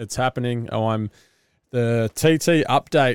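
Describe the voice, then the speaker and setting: On a very clean recording against a silent background, the voice sounds dry and close, without any echo. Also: man. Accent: Australian. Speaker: podcast host, business founder and amateur triathlete. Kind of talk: solo podcast monologue. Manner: casual, rambling with fillers.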